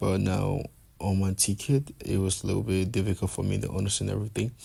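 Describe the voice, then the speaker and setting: A man with a very deep, low pitch and a dark, mellow tone speaks somewhat breathily at a very fast pace with ordinary pitch variation. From Liberia. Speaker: student vlogger. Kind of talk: travel vlog narration. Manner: casual, repetitive with restarts.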